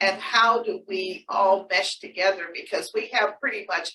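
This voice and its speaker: A woman's voice with an American accent, a bright, sharp tone, ordinary pitch variation and a fairly slow pace. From Washington, D.C. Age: 70s. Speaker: city council member. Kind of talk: public speech. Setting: meeting with audience.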